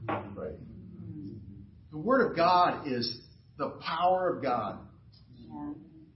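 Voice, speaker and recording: Against noticeable background noise, a man speaks at a very slow pace with very wide pitch swings and long, frequent pauses. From US South, Fort Lauderdale, Florida. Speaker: pastor. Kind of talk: sermon. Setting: church.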